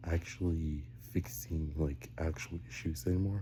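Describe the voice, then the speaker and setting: A quiet man with a very deep, low pitch, somewhat breathy and dark, mellow in tone, at a fairly slow pace with ordinary pitch variation. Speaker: vlogger. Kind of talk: casual monologue. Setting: home basement, early morning. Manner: rambling, hesitant with fillers.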